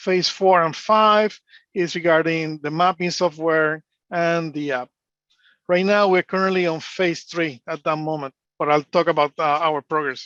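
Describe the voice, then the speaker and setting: In a Spanish accent, a man talks at a fairly slow pace with a high pitch and a bright, sharp tone, the sound dry and close with no echo. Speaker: engineer and analyst. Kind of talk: conference presentation. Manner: hesitant, many fillers.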